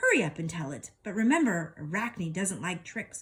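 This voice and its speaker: A woman uses a put-on character voice at a medium pitch. She keeps a moderate pace, and hissing can be heard. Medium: read story. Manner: hissing, speaks of herself in third person.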